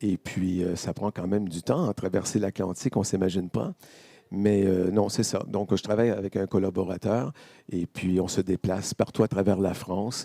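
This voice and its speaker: At a moderate pace, a man speaks in a fairly low pitch with a dark, mellow tone, the sound dry and close with no echo. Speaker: vendor of Canadian food products. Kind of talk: interview at a fair. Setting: live stream set at a fair. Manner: animated.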